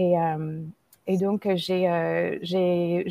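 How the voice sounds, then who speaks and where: A woman with an American accent speaks at a fairly low pitch, her dark, mellow tone and fairly even intonation captured in a dry, close sound with no echo. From United States, Indian family. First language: English (speaking French). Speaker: mindfulness teacher. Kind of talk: interview. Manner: halting, many repetitions.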